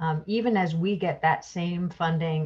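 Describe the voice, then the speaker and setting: Her voice is fairly low for a woman and somewhat breathy, with fairly even intonation at a fairly slow pace. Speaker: state environmental official; guest. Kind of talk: presentation. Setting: video call. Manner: formal. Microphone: video call.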